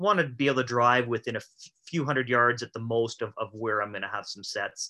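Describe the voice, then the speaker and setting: With an Albertan accent and a bright, sharp tone, a man speaks at a medium pitch and a fairly quick pace against a quiet background. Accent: Canadian (Alberta). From Alberta, Canada (rural, west of Calgary). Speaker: chiropractor and trapper. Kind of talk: casual interview chat.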